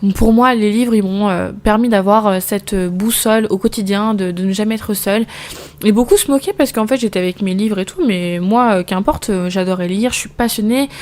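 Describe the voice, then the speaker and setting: At a fairly quick pace, a woman speaks at a medium pitch with fairly even intonation. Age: 20s. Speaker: postnatal caregiver and podcast host. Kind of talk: casual personal monologue. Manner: very fast; hesitant, stumbles over words.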